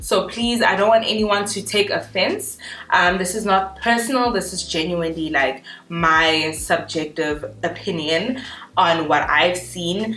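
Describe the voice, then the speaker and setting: A woman talks at a fairly slow pace and medium pitch, with ordinary pitch variation. Noticeable background noise and audible room echo surround her voice. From South Africa. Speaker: YouTuber. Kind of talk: casual chat. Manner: halting.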